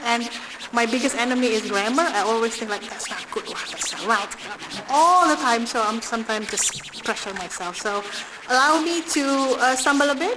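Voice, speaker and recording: Over noticeable background noise, a woman with an Indonesian accent speaks at a moderate pace and a fairly high pitch, with ordinary pitch variation. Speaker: diplomat. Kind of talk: speech. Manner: halting.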